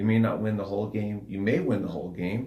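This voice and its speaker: Somewhat breathy with a dark, mellow tone, a man's fairly low pitch comes through audible room echo. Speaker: podcast co-host, coach. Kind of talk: casual podcast chat. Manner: soft-spoken.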